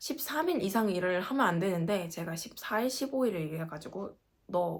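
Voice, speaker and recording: Speaking at a moderate pace, a woman of medium pitch has lively intonation and an animated tone. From South Korea, Gangwon Province. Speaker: working holiday vlogger. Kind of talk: casual vlog.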